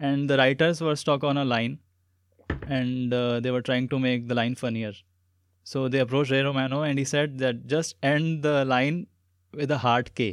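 Against a quiet background, a man mumbles at a moderate pace and medium pitch, his intonation fairly even and his loudness very even. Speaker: podcast host. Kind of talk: casual interview. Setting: studio. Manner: mumbling.

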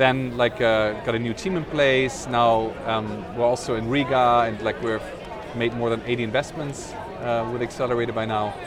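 Speech comes at a moderate pace with fairly even intonation. Audible room echo and noticeable background noise are present. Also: man, medium pitch for a man. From Netherlands, German-born. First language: Dutch/German. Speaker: startup founder and investor. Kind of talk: interview. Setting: outdoors at a tech event. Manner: hesitant, many fillers.

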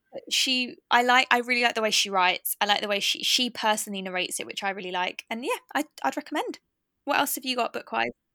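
Very fast and lively, a woman with an English accent speaks at a fairly high pitch in a bright, sharp tone, the sound dry and close with no echo. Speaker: podcast host. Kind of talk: casual chat.

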